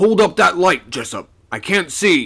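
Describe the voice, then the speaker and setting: Using a put-on character voice, a man projects loudly in a high pitch at a moderate pace, his pitch swinging very widely. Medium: read story. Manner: gruff, commanding.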